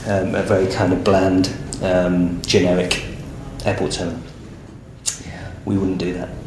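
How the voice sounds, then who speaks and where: A man's very deep, low voice in an English accent, monotone and flat, at a moderate pace with long, frequent pauses and noticeable background noise. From English Midlands. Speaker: architect. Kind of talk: interview. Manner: halting, many fillers.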